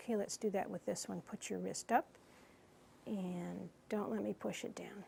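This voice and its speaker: A woman at a fairly slow pace. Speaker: clinician giving a physical exam. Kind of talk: medical exam instruction to a patient.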